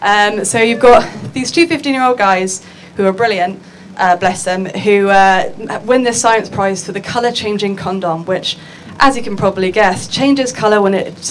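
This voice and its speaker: A woman speaks with an English accent at a medium pitch. Light background noise can be heard. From England. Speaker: futures and art researcher; conference panelist. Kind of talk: conference talk. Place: hall. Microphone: handheld.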